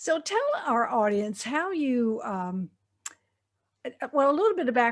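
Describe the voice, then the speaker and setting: Speaking at a moderate pace, a woman with a Southern US accent has lively intonation. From US South. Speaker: podcast host. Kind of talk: interview; scripted introduction.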